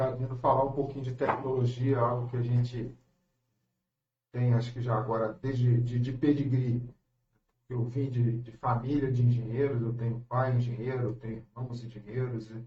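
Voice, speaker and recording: A man speaks with a strong Rio de Janeiro accent at a medium pitch and a moderate pace. His tone is dark, mellow and somewhat breathy, with monotone, flat intonation. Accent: strong carioca. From Brazil, Rio de Janeiro. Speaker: engineer. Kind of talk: radio interview. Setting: radio studio. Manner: halting, repeats words.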